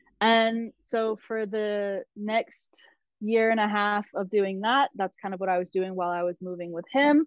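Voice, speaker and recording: Speaking with an American accent, a woman has an unremarkable speaking voice at a medium pitch with ordinary pitch variation. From US South, South Carolina. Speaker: travel blogger and digital nomad coach. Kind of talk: interview conversation. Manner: fast.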